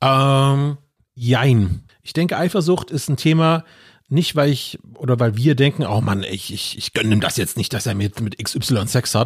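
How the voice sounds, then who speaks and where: At a fairly slow pace, a man speaks with lively intonation at medium pitch. His voice is somewhat breathy, on a very clean recording with a silent background. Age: 40s. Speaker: podcast guest. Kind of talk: casual chat.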